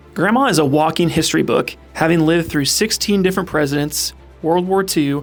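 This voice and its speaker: With music in the background, a man speaks fairly quickly at a fairly high pitch, his pitch varying in an ordinary way. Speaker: podcast host. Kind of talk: podcast intro read.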